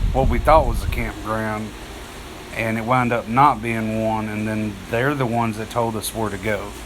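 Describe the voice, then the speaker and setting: With an East Texas accent, a man speaks at a fairly low pitch amid noticeable background noise and audible room echo. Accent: East Texas Southern US. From northeast Texas (Texarkana area). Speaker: outdoorsman livestreamer. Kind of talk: casual live stream chat. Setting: live stream. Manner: halting, many fillers.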